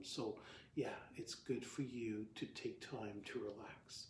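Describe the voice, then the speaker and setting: A man speaks at a medium pitch, his voice somewhat breathy, with audible echo in the room. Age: 60s. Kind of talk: talk to camera, devotional teaching. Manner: halting, many fillers and restarts; casual, conversational.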